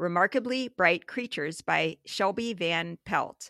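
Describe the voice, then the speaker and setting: With an American accent and a bright, sharp tone, the voice moves at a fairly slow pace with lively intonation, dry and close with no echo on a very clean recording with a silent background. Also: woman. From US Midwest, small town. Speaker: book podcast co-host and playwright. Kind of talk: casual chat.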